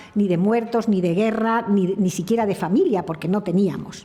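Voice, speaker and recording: Fairly quick in pace, a woman talks at a medium pitch. Her intonation stays fairly even. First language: French (speaking Spanish). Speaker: speaker at a heritage conference. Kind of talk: conference talk. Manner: halting.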